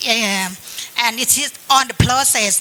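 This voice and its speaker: Over noticeable background noise, a woman talks at a high pitch with ordinary pitch variation. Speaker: government climate official. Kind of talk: panel discussion. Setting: seminar panel in hotel.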